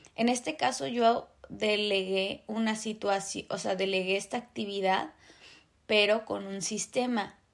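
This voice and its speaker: A woman's medium-pitched voice in a Mexican accent against a quiet background. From Mexico. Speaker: podcast host. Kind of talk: casual monologue.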